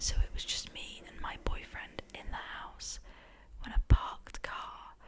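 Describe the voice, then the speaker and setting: Whispering at a fairly slow pace, a woman swings widely in loudness over noticeable background noise. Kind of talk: ASMR story reading of scary Reddit stories to camera.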